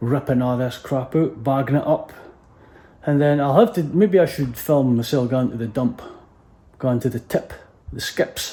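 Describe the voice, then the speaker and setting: A man with a North East Scottish accent, fairly high in pitch and somewhat breathy, with a dark, mellow tone, a moderate pace and long, frequent pauses. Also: ordinary pitch variation. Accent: Doric Scots, normally broad. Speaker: DIY house renovator, vlogger. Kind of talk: casual vlog chat. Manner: hesitant, many fillers.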